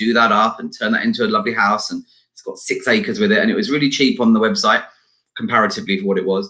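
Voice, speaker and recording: At a very fast pace, a man talks with an English accent. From UK. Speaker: entrepreneur and talent agent. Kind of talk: interview. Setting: live stream.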